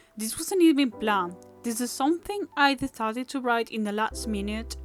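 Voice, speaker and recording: A woman speaks at a moderate pace with a strong non-native accent. Music plays in the background. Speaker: animator. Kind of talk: casual talk to camera.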